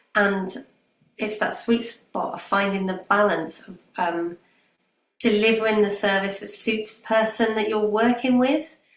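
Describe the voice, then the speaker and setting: A woman in a plain, everyday voice, fairly high in pitch, at a fairly slow pace, with ordinary pitch variation and big swings in loudness. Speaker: business owner. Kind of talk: testimony.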